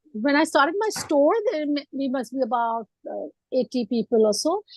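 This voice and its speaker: Dry and close with no echo, a woman's high voice carries lively intonation at a moderate pace. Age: 50s. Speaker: entrepreneur. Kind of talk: panel discussion. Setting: video call.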